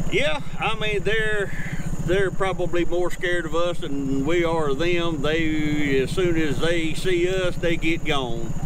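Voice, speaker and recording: Noticeable background noise surrounds a man with a high pitch and ordinary pitch variation. He speaks at a fairly slow pace, in a dry sound with no echo. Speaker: local tour guide. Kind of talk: casual conversation on a boat tour. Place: boat. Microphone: camera far.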